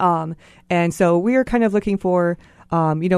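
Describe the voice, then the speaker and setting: This woman has an American accent. Her tone is dark and mellow. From US mainland. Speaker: pharmaceutical marketplace startup founder. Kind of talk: radio interview.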